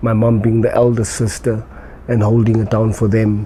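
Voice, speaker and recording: Over noticeable background noise, a man with a fairly low pitch speaks in a monotone, flat intonation. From South Africa, Eldorado Park, Johannesburg. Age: 40s. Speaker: addiction recovery coach. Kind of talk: personal interview testimony. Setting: parents' house. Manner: hesitant, many fillers and repetitions.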